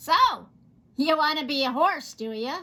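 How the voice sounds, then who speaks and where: A woman puts on a character voice. It is high-pitched and shrill. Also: moderate pace. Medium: read story. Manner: gleeful.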